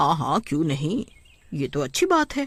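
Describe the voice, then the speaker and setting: A cartoonish character voice at a middle pitch. It moves along at a moderate pace. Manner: friendly, smooth-talking.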